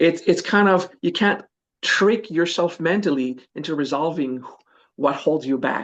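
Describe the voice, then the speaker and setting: This man has a French accent and a high-pitched voice with ordinary pitch variation. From France. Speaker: spiritual teacher. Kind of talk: interview. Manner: halting.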